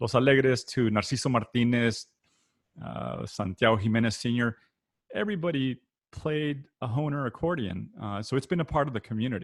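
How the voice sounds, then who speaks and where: A South Texas accent with ordinary pitch variation. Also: man. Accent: South Texas Mexican-American English. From South Texas (Rio Grande Valley, Weslaco). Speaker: accordion product manager and performer. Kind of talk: panel discussion. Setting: video call. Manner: many fillers and restarts.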